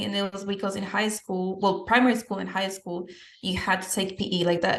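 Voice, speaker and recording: A woman with a Spanish accent talks at a fairly quick pace in a medium pitch. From Peru. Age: 20s. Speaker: fitness coach and podcast host. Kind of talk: podcast interview, answering questions about her life.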